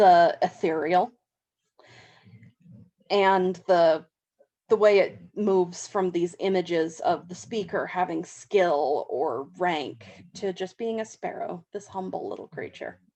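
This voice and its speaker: A woman with a Southern California accent speaks at a very slow pace. Her tone is dark and mellow, with big swings in loudness. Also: medium pitch for a woman. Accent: flat Southern California. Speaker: university English instructor. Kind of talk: lecture on poetry. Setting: home, dog snoring in background.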